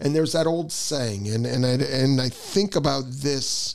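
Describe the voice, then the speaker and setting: The speaker is a man with a medium pitch. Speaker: real estate podcast host. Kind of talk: casual chat. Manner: loud, enthusiastic; animated.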